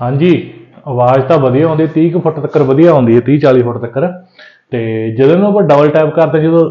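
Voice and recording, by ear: At a fairly quick pace, a man speaks with lively intonation.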